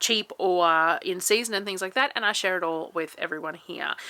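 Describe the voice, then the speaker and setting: A woman with an Australian accent speaks at a fairly quick pace in a medium pitch, her bright, sharp tone carried on fairly even intonation. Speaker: homesteading vlogger. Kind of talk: vlog voiceover. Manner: fast.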